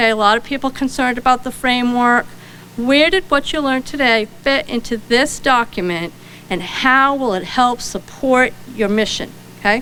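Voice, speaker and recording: Noticeable background noise surrounds a woman with a Rhode Island accent and a high pitch. She speaks at a moderate pace with ordinary pitch variation. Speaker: librarian. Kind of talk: conference keynote talk.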